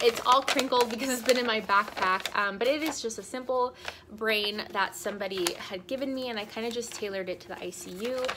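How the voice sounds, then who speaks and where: Through noticeable background noise, a woman with a fairly high pitch speaks at a fairly quick pace. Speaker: nurse and video creator. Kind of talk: casual tutorial vlog.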